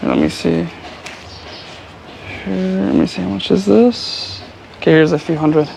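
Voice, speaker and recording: A man's fairly low voice with an American accent, at a moderate pace, with very wide pitch swings, long and frequent pauses, and noticeable background noise. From United States. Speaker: travel vlogger. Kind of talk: casual vlog chat.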